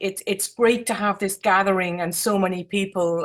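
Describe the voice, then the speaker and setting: A woman with an Irish accent, fairly even intonation, on a very clean recording with a silent background. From Ireland. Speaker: architect, jury member. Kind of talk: awards ceremony speech. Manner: halting.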